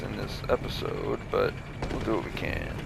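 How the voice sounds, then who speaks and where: The voice is quiet, with noticeable background noise behind it. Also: man. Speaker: gaming youtuber. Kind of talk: let's play commentary.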